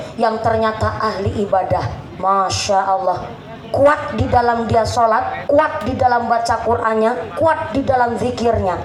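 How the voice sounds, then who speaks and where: Over noticeable background noise and with audible room echo, a woman speaks fairly slowly at a fairly high pitch with ordinary pitch variation. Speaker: female Islamic preacher. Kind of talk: sermon. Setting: stage with audience, PA system. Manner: animated.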